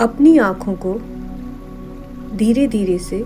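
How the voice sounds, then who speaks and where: With music playing in the background, a woman speaks in a calm, soothing tone. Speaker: meditation guide. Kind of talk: guided meditation narration. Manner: slow, calm, soothing.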